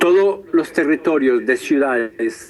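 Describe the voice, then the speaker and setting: Very slow speech from a man over noticeable background noise. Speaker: professor. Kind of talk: lecture. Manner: halting, many hesitations.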